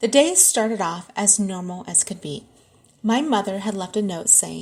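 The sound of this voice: Pitch varies in an ordinary way in this unforced reading voice.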